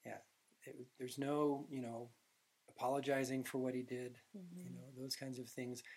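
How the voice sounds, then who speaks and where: A man's normal speaking voice in an American accent, medium in pitch with fairly even intonation at a moderate pace. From Utah. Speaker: film director and screenwriter. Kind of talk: interview.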